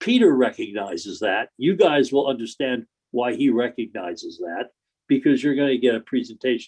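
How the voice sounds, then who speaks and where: A man with an ordinary speaking voice, medium in pitch and moderate in pace, with lively intonation and a dry, close sound with no echo. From Connecticut. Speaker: attorney presenting a zoning application. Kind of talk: public hearing presentation. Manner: conversational, informal.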